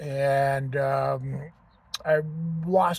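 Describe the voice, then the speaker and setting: Very clean audio of a male speaker against total silence. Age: 60s. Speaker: vlogger. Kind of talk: personal testimony vlog. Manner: casual, hesitant with fillers.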